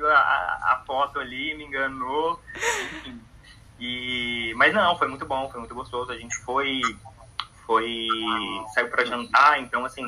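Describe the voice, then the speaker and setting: A man's medium-pitched voice at a very slow pace, with long, frequent pauses, big swings in loudness, ordinary pitch variation and noticeable background noise. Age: 20s. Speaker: podcast guest. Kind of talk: casual chat. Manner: halting.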